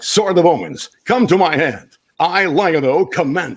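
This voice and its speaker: The speaker uses a put-on character voice with a dramatic tone. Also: man, high pitch for a man, moderate pace. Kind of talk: declamatory broadcast-style acting. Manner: bold, commanding, dramatic.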